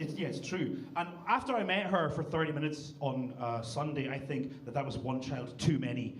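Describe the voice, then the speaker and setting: Amid noticeable background noise, a man with a Scottish accent talks at a moderate pace with hardly any pauses, his pitch fairly high with ordinary variation. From Scotland. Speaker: comedian. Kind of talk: roast battle stand-up. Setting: stage with audience.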